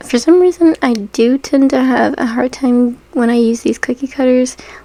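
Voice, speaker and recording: Noticeable background noise runs behind a woman's high voice. She keeps a moderate pace and ordinary pitch variation. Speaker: miniature crafter. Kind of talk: voiceover narration of craft tutorial. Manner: casual, conversational.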